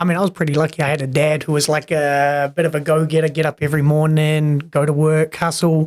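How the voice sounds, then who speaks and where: Using a New Zealand accent, a man races along at a very fast pace with hardly any pauses, his fairly high pitch held in a monotone, flat intonation. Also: very even loudness. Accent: New Zealand accent, noticeable. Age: 30s. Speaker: personal trainer. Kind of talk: casual podcast interview. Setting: studio podcast with headphones.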